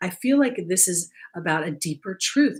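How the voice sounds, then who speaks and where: A woman's tone is dark, mellow and somewhat breathy. Her pitch swings very widely. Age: 60s. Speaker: spiritual coach and card reader. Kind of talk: livestream card reading. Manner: casual, conversational.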